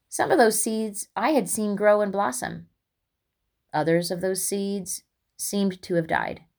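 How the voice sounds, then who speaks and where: A woman with an American accent speaks fairly slowly at a medium pitch with ordinary pitch variation and long, frequent pauses, in a very clean recording with a silent background. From US Midwest, Indiana (West Lafayette). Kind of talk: devotional testimony.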